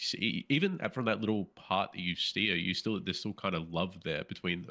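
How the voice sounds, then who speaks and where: Speaking with an Australian accent at a moderate pace and hardly any pauses, a man has a fairly low pitch, a bright, sharp tone and ordinary pitch variation in a very clean recording with a silent background. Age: 30s. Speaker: podcast co-host. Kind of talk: casual chat.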